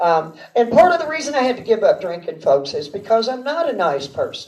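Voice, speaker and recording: A woman with a Texas accent and very wide pitch swings. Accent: Texas Southern drawl. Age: 50s. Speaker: amateur stand-up comedian. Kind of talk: stand-up. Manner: halting, rambling with many fillers.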